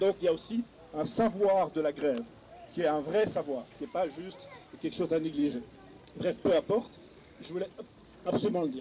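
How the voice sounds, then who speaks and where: Against noticeable background noise, a man with a high pitch and lively intonation speaks at a moderate pace, pausing often and at length. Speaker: panel speaker at a political conference. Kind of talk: panel discussion.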